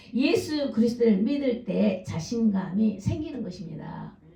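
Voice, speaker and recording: A woman's fairly high voice with lively intonation at a very slow pace, amid noticeable background noise and audible room echo. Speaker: pastor. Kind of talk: sermon.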